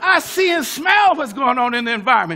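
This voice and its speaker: Raising and projecting his voice, a man with an American accent speaks at an extremely high pitch. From US West (California). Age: 70s. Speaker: pastor and civil rights activist. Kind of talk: speech. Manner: animated.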